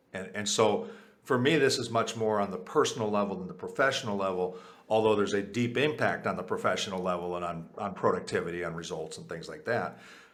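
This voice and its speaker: Audible room echo surrounds a man speaking at a very fast pace. His fairly low voice has ordinary pitch variation and big swings in loudness. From US, Puerto Rican family. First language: Spanish. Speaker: author and leadership advisor. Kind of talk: interview. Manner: frequent fillers and repetitions.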